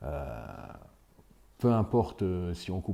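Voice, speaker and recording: A man's very deep, low voice with a dark, mellow tone, lively intonation and a fairly slow pace. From France, Vosges (near Épinal). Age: 60s. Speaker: village mayor and teacher. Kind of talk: interview testimony. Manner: halting, many hesitations.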